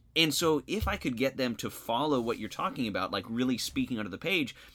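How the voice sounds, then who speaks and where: The speech has lively intonation with a slight Missouri Bootheel accent. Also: man, very clean recording, silent background. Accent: slight Bootheel Missouri drift. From various places, military family. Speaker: social studies teacher, podcast co-host. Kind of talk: scripted educational podcast.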